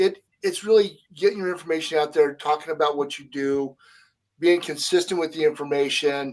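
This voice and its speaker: A man speaks at a moderate pace with a fairly high pitch. His intonation stays fairly even, while his loudness swings widely. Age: 60s. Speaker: podcast co-host. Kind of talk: casual chat. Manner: halting.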